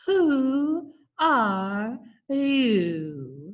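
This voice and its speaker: Put-on character voice from a woman, high-pitched, with very wide pitch swings. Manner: slow, drowsy.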